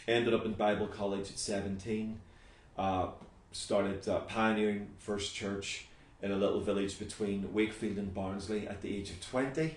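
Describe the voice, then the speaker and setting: With audible room echo, a man speaks at a moderate pace in a fairly low pitch and fairly even intonation. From Northern Ireland, Belfast. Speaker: pastor. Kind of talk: interview.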